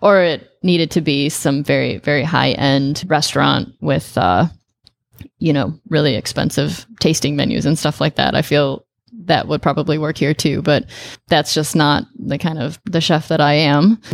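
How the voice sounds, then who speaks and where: With a Chicago accent and vocal fry, a woman speaks at a moderate pace in a very deep, low pitch with ordinary pitch variation. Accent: Chicago-area American. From US Midwest, northern Illinois near Chicago. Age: 30s. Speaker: chef. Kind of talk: casual chat.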